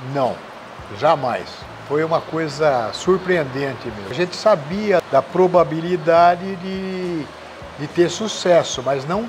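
A man's high-pitched voice at a fairly slow pace over light background noise. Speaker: interviewee. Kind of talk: interview answer. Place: bar. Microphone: lapel.

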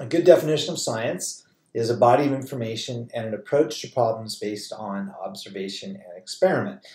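A somewhat breathy man at a fairly quick pace, with a quiet background and audible room echo. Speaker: college chemistry instructor. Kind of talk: lecture. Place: home room.

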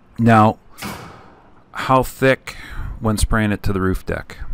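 With noticeable background noise behind him, a man speaks at a very slow pace in a fairly low pitch and fairly even intonation. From Canada. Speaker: spray foam insulation contractor and video host. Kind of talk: tutorial-style Q&A answering viewer questions.

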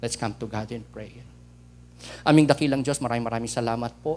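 A man talks at a fairly quick pace with vocal fry and fairly even intonation, over light background noise. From Philippines. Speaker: preacher. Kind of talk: sermon. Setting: church. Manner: formal, reverent prayer cadence; earnest, teacherly, code-switching Tagalog and English.

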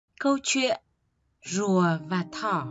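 With music in the background, the speaker talks at a very slow pace in a Northern Vietnamese accent. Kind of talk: bedtime story narration for children.

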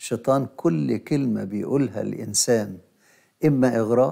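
A man with an Egyptian accent talks at a very slow pace in a dark, mellow tone with ordinary pitch variation against a quiet background. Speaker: bishop and liturgy professor; bishop, liturgy professor. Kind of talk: religious teaching talk show. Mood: calm, explanatory. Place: studio.

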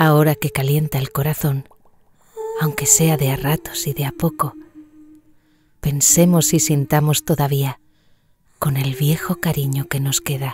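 Pausing long and often, a woman with a very deep, low pitch speaks at a fairly slow pace in a monotone, flat intonation. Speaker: voice actor. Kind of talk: poetry reading.

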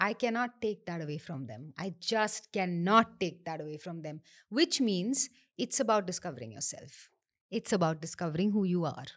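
Speaking at a moderate pace with a fairly low pitch, a woman makes very wide pitch swings and big swings in loudness over a quiet background. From northern India. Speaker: architect and NLP trainer; NLP trainer. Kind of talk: interview, casual chat mixing Hindi and English. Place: studio. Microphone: studio mic.

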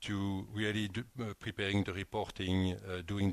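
A man talks with a fairly low pitch and monotone, flat intonation at a moderate pace. The sound is dry with no echo. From eastern Belgium. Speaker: company CEO; guest. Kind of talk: interview. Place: studio. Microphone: headset.

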